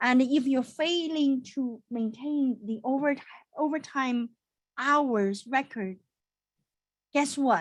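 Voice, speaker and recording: The speech comes at a very slow pace with long, frequent pauses and ordinary pitch variation. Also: woman. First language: not English. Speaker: accountant. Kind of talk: webinar. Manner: animated.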